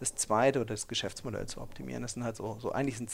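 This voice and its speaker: A man's voice with vocal fry. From Ruhr area, Germany. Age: 40s. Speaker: startup founder and investor. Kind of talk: interview. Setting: office space.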